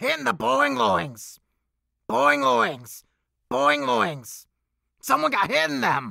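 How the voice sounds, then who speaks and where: In a put-on character voice, a man speaks at a fairly high pitch and a very slow pace, with long, frequent pauses, on a very clean recording with a silent background. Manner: manic, silly.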